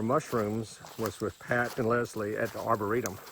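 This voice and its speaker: Over noticeable background noise, a man with a Southern US accent speaks at medium pitch and a moderate pace. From US South, rural East Georgia. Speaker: friend giving memorial tribute. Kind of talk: memorial tribute.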